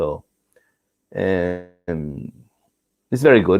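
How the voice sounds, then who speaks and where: A man with a Latin American accent and lively intonation. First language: Spanish. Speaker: cheese making instructor. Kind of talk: Q&A tutorial show. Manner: hesitant, many fillers and restarts.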